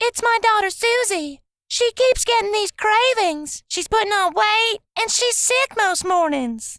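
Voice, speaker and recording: A woman in a put-on character voice squeaks at an extremely high pitch with lively intonation, moving at a fairly slow pace with hardly any pauses. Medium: read story.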